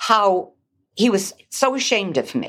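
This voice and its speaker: She speaks with an American accent at medium pitch. The woman's voice has vocal fry. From Massachusetts, Newburyport. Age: 70s. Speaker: ministry leader. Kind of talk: testimony.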